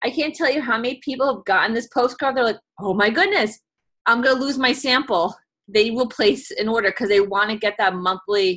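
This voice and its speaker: A woman's fairly high, bright, sharp voice with a New York accent and ordinary pitch variation. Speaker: direct sales consultant. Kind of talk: video call presentation. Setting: video call. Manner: fast.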